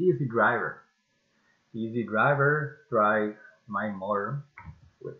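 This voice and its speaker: Speaking very slowly with lively intonation, a man talks in a French accent. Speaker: amateur radio operator. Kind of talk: casual project demo to camera. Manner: hesitant, many filler sounds.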